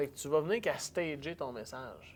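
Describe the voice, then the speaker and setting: A man with a Quebec accent, fairly high-pitched, at a fairly slow pace. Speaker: public speaker. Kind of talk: casual chat. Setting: event hall.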